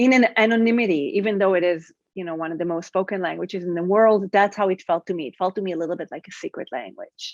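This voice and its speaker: Speaking at a very fast pace, a woman's loudness swings widely in a dry, close recording with no echo. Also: medium pitch for a woman, ordinary pitch variation, quiet background. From Israel. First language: Hebrew. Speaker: writer. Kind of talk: interview. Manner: halting, many fillers.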